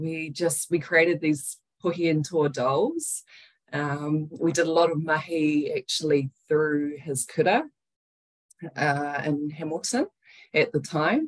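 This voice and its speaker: A woman with a New Zealand accent speaks at a very slow pace, her very deep, low pitch held in fairly even intonation. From New Zealand, Wellington. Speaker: breathwork business founder. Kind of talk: interview.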